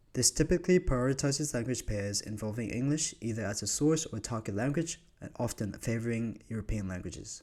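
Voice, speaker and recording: In a Vietnamese accent, a man speaks at medium pitch with a dark, mellow tone and lively intonation. His pace is fairly quick, and the recording is very clean with a silent background. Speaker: university student. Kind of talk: scripted narration.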